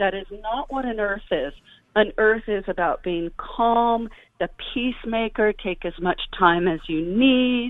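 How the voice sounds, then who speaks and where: At a fairly slow pace, this is an ordinary speaking voice with ordinary pitch variation. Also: woman, fairly high pitch for a woman. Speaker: author and dancer. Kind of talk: radio interview. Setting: live radio call-in show.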